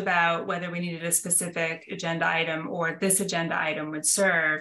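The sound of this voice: In a room with audible echo, a woman speaks at a fairly low pitch with a fairly bright tone.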